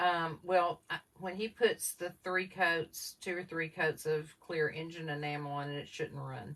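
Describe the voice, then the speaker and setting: Speaking with a Southern US accent, a woman has a very deep, low pitch. Her delivery is fairly slow, with monotone, flat intonation. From US South. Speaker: craft livestream co-host. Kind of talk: casual livestream chat reading viewer comments. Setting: live video stream.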